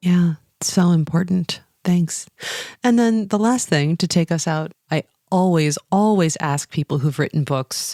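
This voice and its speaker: With an American accent, a woman talks in a dark, mellow tone with ordinary pitch variation and very even loudness, the sound dry and close with no echo. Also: fairly low pitch for a woman, fairly slow pace. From US. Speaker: podcast host. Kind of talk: interview.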